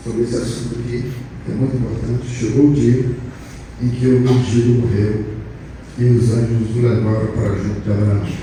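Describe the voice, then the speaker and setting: There is audible room echo and noticeable background noise. A man speaks at a medium pitch with fairly even intonation. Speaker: pastor. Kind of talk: sermon. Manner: slow.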